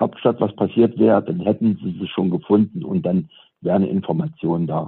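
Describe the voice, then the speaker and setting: A man talks at a moderate pace. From Saxony, Ore Mountains (eastern Germany). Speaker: teacher sharing personal experience. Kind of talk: testimony. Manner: halting.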